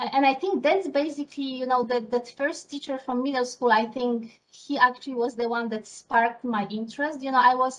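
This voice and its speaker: Speaking at a fairly quick pace with hardly any pauses, a woman with a Polish accent uses a high pitch and fairly even intonation. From Poland. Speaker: scientist. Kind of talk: interview. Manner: hesitant, many fillers.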